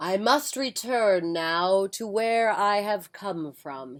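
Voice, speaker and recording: A female-sounding voice does a put-on character voice at a medium pitch, speaking very slowly. The recording is very clean with a silent background. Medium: read story. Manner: mysterious, grand.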